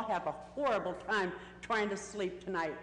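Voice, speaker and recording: Noticeable background noise and audible room echo surround a woman talking at a moderate pace with ordinary pitch variation. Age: 60s. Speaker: member of the public speaking at a council meeting. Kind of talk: public comment testimony. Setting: city council chamber.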